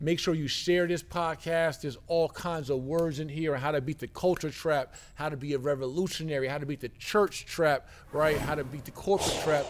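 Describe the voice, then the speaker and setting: Fairly even intonation and a fairly high pitch mark a man's speech, an ordinary speaking voice. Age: 40s. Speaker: podcast host. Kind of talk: podcast interview; show outro. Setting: studio.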